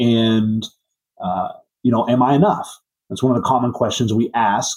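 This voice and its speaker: This is a normal speaking voice from a man at a medium pitch. He talks at a moderate pace. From Southwest Missouri. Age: 30s. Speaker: auto repair shop owner. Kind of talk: interview.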